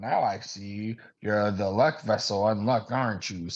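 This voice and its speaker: A man puts on a nasal character voice, fairly low in pitch, with ordinary pitch variation and a moderate pace. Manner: sarcastic, annoying.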